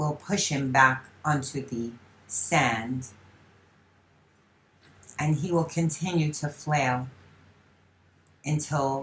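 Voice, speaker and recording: The woman's pitch is very deep and low. Its variation is ordinary. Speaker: voice channeler and hypnotherapist. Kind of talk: psychic channeling session. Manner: slow.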